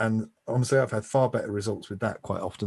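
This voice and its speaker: A man with a fairly low pitch speaks at a fairly quick pace in a flat, monotone way, his voice somewhat breathy against a quiet background. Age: 50s. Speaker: YouTube marketing expert. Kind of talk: interview.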